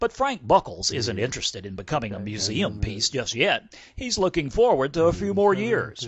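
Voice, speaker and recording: A man speaks at a fairly high pitch with very wide pitch swings and a somewhat breathy sound. He barely pauses at all. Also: moderate pace. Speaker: army medical editor and reporter. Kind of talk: TV news report.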